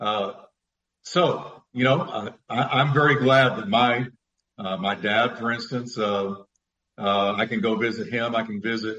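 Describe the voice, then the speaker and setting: This man has a plain, everyday voice at medium pitch, moving at a fairly slow pace with ordinary pitch variation. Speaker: pastor and radio speaker. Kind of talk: live call-in Bible Q&A. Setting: studio, live radio show.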